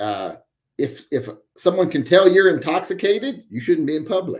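A man with an American accent, vocal fry, very wide pitch swings and a fairly quick pace, against a quiet background. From West Virginia. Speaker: livestream host, military veteran; livestream host. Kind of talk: casual live-chat monologue. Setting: live stream. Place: home room.

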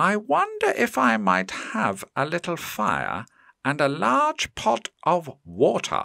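A man speaks in a put-on character voice, pitched fairly high, at a fairly slow pace. His loudness stays very even, and the sound is dry and close with no echo. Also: very clean recording, silent background. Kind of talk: bedtime story. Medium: read story. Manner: polite, gentle.

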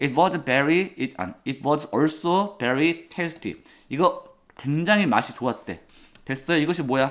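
A man speaks very slowly with a fairly high pitch. The recording is very clean, with a silent background. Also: ordinary pitch variation. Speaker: English teacher. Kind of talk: lecture.

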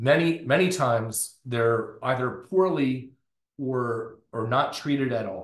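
In an American accent, a man talks at a very slow pace and medium pitch, somewhat breathy, with ordinary pitch variation, audible room echo and a quiet background. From US South, North Florida. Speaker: professor, circadian biologist; professor. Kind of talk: lecture. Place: office. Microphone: webcam.

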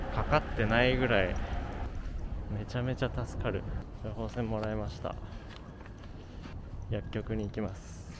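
A man speaks at a moderate pace. The sound is dry with no echo, with noticeable background noise. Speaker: vlogger. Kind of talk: casual vlog talk to camera. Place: street. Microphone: phone near.

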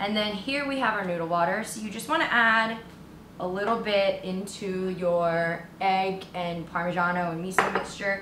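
With loud background noise behind her, a woman speaks at a moderate pace with ordinary pitch variation. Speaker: home cook host. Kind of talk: cooking tutorial. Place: kitchen.

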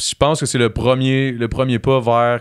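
The setting is quiet. A man speaks at a fairly slow pace. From Quebec. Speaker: reality TV personality and musician; podcast guest. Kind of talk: casual chat. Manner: animated. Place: studio. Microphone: studio mic.

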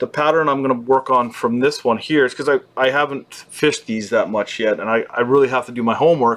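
The man's speech races along at a very fast pace, his pitch varying in an ordinary way. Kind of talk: tutorial. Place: shop. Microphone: webcam.

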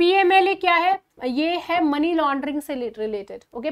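A woman speaks at a high pitch and a fairly slow pace. Behind her the background is quiet. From India. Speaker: current affairs teacher for exam preparation. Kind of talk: lecture. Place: studio. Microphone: lapel.

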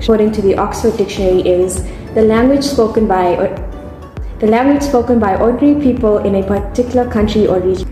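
A woman speaks at a very fast pace with fairly high pitch and ordinary pitch variation. Clear music plays behind her, and the room echo is audible. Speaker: architecture student, podcast co-host. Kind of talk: podcast intro reading and casual chat. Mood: giggly, a bit nervous. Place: home room. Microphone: phone near.

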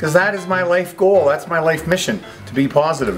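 A man talks at a very fast pace. Faint music plays in the background. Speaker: vlogger sharing personal story. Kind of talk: casual vlog chat. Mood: reflective, positive. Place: garden. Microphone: phone near.

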